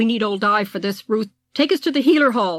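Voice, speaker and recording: A woman's unremarkable speaking voice, fairly high in pitch, at a fairly quick pace, on a very clean recording with a silent background. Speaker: author reading her own novel. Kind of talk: audiobook reading.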